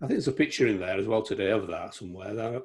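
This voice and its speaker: A man speaks in a Yorkshire accent, his voice medium in pitch and somewhat breathy. The recording is very clean, with a silent background. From Yorkshire, England (Harrogate). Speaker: photographer. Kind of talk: casual chat.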